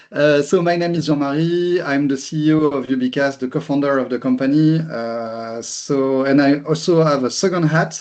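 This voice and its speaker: Over noticeable background noise, a man with a fairly high pitch talks at a moderate pace with fairly even intonation and hardly any pauses. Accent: strong French. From France. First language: French. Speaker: company executive. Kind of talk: webinar presentation. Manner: halting, repeats words.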